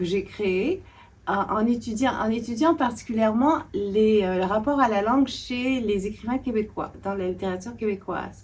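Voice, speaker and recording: Here a woman speaks at a fairly high pitch and a moderate pace. Her voice is somewhat breathy, with ordinary pitch variation. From Quebec. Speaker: literature scholar and author. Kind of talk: interview discussion. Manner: halting, many hesitations.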